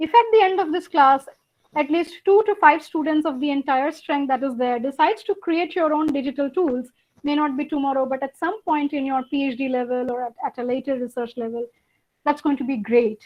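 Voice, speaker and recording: With a Bengali accent, a woman talks fairly quickly in a high voice with lively intonation. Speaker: university lecturer. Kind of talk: lecture.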